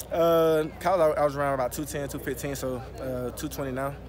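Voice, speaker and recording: Through noticeable background noise, a man at a medium pitch speaks in a monotone, flat way, with a dry sound and no echo. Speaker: college football player. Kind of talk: interview. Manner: halting. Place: stadium. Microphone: phone near.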